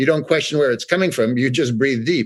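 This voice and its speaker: A man with a New York accent speaks on a very clean recording with a silent background. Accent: New York American. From New York City. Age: 60s. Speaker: art expert, former artist's assistant. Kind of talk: interview. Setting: podcast.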